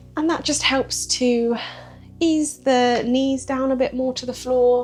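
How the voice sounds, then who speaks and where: Over background music, a woman speaks in a calm tone at a fairly slow pace. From British. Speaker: yoga teacher. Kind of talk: guided yoga breathwork instruction. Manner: calm, soft-spoken.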